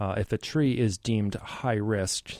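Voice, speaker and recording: A man speaks with a Canadian accent, his pitch fairly low and his tone dark and mellow. The recording is very clean, with a silent background. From Richmond, British Columbia, Canada. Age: 30s. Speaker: arborist. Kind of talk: radio interview. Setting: studio.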